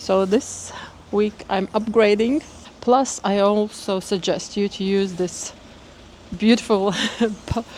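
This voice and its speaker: A woman at medium pitch speaks very slowly with long, frequent pauses and a fairly even intonation while noticeable background noise runs underneath. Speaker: vlogger. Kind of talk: vlog monologue.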